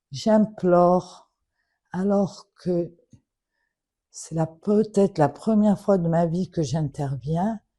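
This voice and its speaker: A somewhat breathy woman with a fairly low pitch and a dark, mellow tone speaks at a very slow pace, with long, frequent pauses and ordinary pitch variation. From Morocco. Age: 70s. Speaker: daughter of a public figure making an appeal. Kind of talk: public plea. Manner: emotional, earnest.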